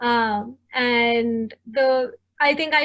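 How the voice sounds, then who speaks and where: A woman's high-pitched voice in a Tamil accent, with fairly even intonation. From southern India. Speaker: product manager. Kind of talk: panel discussion.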